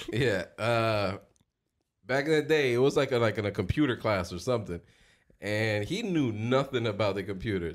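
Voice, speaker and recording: A man with an American accent has a normal speaking voice at medium pitch, with ordinary pitch variation and a moderate pace. The recording is very clean, the background silent. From Dominican heritage, US. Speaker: podcast co-host. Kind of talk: casual chat.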